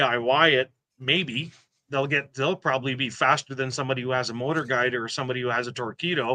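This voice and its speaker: Fairly quick speech from a man in a Quebec accent, medium in pitch with a bright, sharp tone, dry and close with no echo. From Quebec, Montreal. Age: 50s. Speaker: kayak fishing club ambassador. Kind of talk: casual interview chat. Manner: halting, repeats words.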